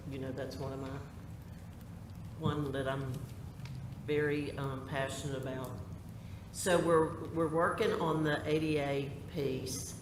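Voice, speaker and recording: With noticeable background noise and audible room echo, a man with a fairly high pitch speaks at a fairly slow pace with fairly even intonation and long, frequent pauses. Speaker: school board member. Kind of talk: public meeting discussion. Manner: loud.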